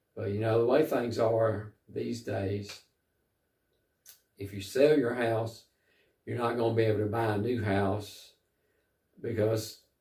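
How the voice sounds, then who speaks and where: In an American accent, a man with a fairly low pitch speaks at a fairly slow pace, somewhat breathy and with fairly even intonation. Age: 60s. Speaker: travel vlogger. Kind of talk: casual vlog monologue. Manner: halting, many fillers.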